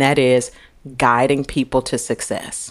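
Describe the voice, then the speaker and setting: In a very clean recording with a silent background, a woman with an American accent speaks at a fairly slow pace. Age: 50s. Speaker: executive coach, retired finance executive. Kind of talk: interview.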